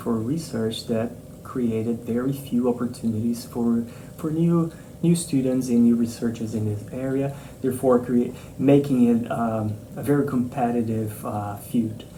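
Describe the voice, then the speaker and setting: A man speaks fairly slowly with a non-native accent, at a medium pitch with ordinary pitch variation. The recording has audible room echo and noticeable background noise. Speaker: marine mammal scientist, professor. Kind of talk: interview answers. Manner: hesitant, many fillers and repetitions.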